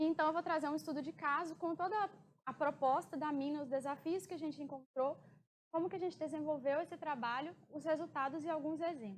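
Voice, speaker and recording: The woman's voice is high with ordinary pitch variation. She talks at a fairly quick pace. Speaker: mining engineer giving a talk. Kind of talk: conference presentation.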